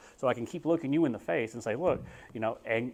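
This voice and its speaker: Amid noticeable background noise, a man with a Texan accent talks very fast at a medium pitch with ordinary pitch variation. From Texas. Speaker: real estate agent. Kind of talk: talk to a group. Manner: casual, with many fillers.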